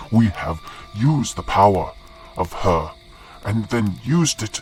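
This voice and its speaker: Over clear background music, a man uses a put-on character voice at a fairly low pitch. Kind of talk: mythic storytelling. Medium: actual play. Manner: solemn storytelling with wry asides.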